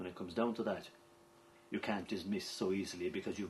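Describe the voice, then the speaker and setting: Speaking with an Irish accent, a man uses ordinary pitch variation. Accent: Irish (Clare). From County Clare, Ireland. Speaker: traditional storyteller (seanchaí). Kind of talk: documentary interview answer.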